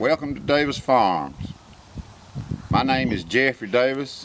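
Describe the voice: Speaking at a fairly slow pace, a man with a medium pitch uses lively intonation and a fairly bright tone.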